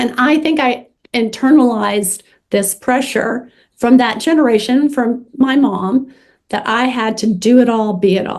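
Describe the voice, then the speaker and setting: At a fairly slow pace, a woman with a fairly high pitch and ordinary pitch variation speaks in an unremarkable speaking voice. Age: 60s. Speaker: social worker and author. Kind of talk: interview.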